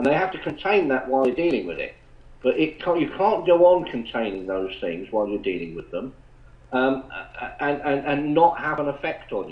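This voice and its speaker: With an English accent, a man talks at a fairly quick pace, his fairly high pitch moving in very wide swings. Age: 70s. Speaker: retired police officer. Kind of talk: casual chat. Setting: online chat room call. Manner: halting.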